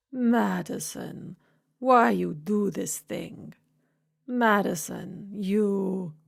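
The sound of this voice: A put-on character voice, female-sounding and middle-pitched, delivers its act in a strong Slavic accent at a very slow pace. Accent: heavy Slavic.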